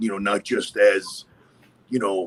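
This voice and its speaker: A man talks at a fairly slow pace. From Westchester, New York. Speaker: podcast host. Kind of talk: casual chat. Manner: animated.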